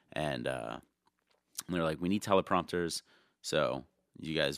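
A very deep, low male voice with vocal fry, dry and close with no echo. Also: long, frequent pauses. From New York area / New Jersey. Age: 30s. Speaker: tour manager and merch seller. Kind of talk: casual interview chat.

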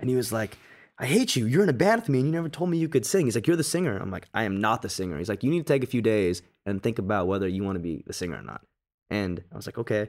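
On a very clean recording with a silent background, a man with an American accent races along at a very fast pace in a medium pitch, with very wide pitch swings. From US West, Las Vegas, Nevada. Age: 20s. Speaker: rock band singer. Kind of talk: interview conversation.

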